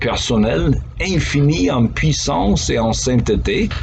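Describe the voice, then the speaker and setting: A man speaks in an American accent. Room echo is audible, and background noise is noticeable. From United States. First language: English (speaking French). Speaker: pastor. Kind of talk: devotional talk. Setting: office. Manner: conversational.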